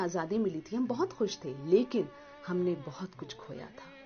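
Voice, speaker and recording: Music plays behind a woman whose pitch swings very widely. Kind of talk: tribute speech about a famous radio host, spoken to camera.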